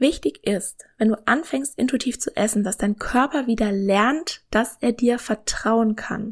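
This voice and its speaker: A woman speaks at a fairly slow pace in a calm, soothing tone, her pitch fairly high with ordinary variation. She leaves hardly any pauses. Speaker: nutrition scientist and podcast host. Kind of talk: podcast monologue, informative.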